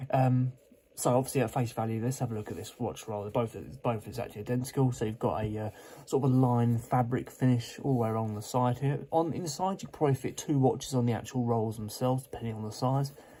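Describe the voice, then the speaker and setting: The voice is somewhat breathy, with a dark, mellow tone. It moves at a very fast pace with ordinary pitch variation. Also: man, medium pitch for a man. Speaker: watch reviewer. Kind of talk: product unboxing review. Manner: casual, hesitant with fillers.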